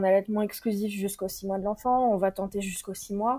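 The recording is very clean, the background silent. A woman speaks at a medium pitch in a dark, mellow tone. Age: 30s. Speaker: midwife. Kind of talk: interview testimony.

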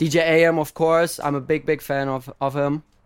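A man with a German accent in a very clean recording with a silent background. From Germany. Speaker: DJ. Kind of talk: interview. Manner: halting.

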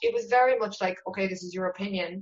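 A woman with a Cork accent. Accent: Cork Irish. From Ireland, West Cork. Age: 30s. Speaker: novelist. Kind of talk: interview.

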